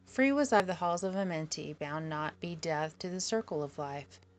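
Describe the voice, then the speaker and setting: A plain, everyday voice moves at a moderate pace with ordinary pitch variation over a quiet background. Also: woman. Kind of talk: audiobook reading of a mystical text.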